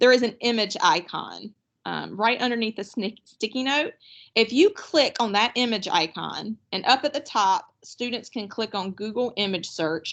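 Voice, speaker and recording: Over a quiet background, a woman talks at a moderate pace in an ordinary speaking voice. Her pitch is fairly high, with ordinary variation. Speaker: teacher trainer. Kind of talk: online workshop presentation.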